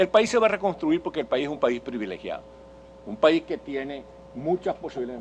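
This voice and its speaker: A man with a Venezuelan accent at a fairly quick pace, fairly high in pitch, with very wide pitch swings and big swings in loudness. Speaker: political speaker and journalist. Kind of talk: public lecture. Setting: conference hall with audience. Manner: halting, with self-corrections.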